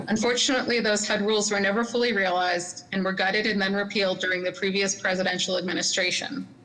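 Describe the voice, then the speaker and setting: A woman talks at a very fast pace with hardly any pauses, her loudness very even and her intonation fairly even, over noticeable background noise and audible room echo. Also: medium pitch for a woman. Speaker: city housing policy manager. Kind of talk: presentation at public meeting.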